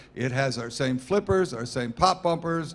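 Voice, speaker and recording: Using a normal speaking voice, a man talks at a moderate pace. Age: 60s. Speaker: company founder and executive. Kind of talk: interview at trade show.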